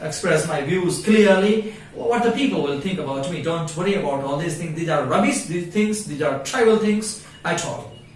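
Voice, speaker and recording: A high-pitched man keeps a moderate pace and ordinary pitch variation while noticeable background noise and audible room echo surround him. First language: Hindi. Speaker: English teacher. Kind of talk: tutorial. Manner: halting.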